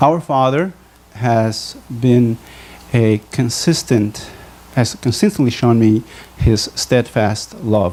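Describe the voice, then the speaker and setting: A man speaks at a very slow pace, leaving long, frequent pauses. His medium-pitched voice keeps a very even loudness. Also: ordinary pitch variation. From Bolivia. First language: Spanish. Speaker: physician. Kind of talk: testimony. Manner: halting.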